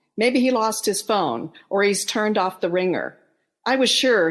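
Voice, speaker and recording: In a very clean recording with a silent background, a woman with an ordinary speaking voice talks at a moderate pace with ordinary pitch variation. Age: 60s. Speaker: author and bereaved mother. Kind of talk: reading aloud.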